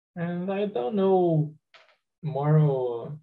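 Speaking at a very slow pace, a man with a Brazilian Portuguese accent uses a fairly high pitch. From Brazil, Espírito Santo. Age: 20s. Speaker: software engineer. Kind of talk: group discussion.

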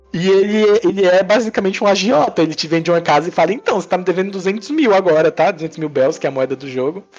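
A man with a high pitch talks at a very fast pace, with hardly any pauses and ordinary pitch variation. Music plays in the background. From Brazil, Northeast (Princesa Isabel, Paraíba). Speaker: mobile game developer and entrepreneur. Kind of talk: casual chat. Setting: remote recording.

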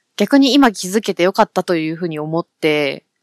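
Heard in a very clean recording over a silent background, a woman speaks at a medium pitch with ordinary pitch variation, the sound dry and close with no echo. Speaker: podcast co-host. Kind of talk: casual chat. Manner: speeds up when excited.

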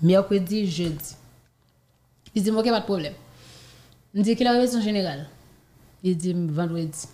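A woman with a dark, mellow tone speaks at a moderate pace, taking long, frequent pauses. Her voice is somewhat breathy, and the room echo is audible. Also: medium pitch for a woman, ordinary pitch variation. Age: 20s. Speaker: professional dancer and student. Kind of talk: interview.

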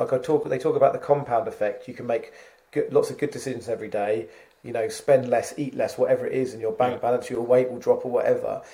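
The speech races along at a very fast pace. Loudness swings widely from moment to moment. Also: man. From Suffolk, England. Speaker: tree surgery business owner. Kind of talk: interview conversation. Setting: remote recording.

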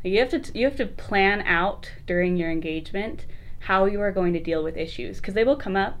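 With an American accent, a woman with an unremarkable speaking voice talks at a fairly quick pace. Her medium pitch carries lively intonation. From Utah, Lehi. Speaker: special education teacher. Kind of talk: casual chat.

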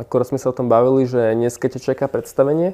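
At a fairly quick pace, a man with an ordinary speaking voice talks at a medium pitch with fairly even intonation. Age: young. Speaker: interviewer. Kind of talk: interview.

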